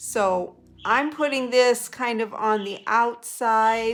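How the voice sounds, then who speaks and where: Over music in the background, a woman talks at a very slow pace, her fairly high pitch showing ordinary variation. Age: 60s. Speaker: makeup artist. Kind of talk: makeup tutorial talk to camera.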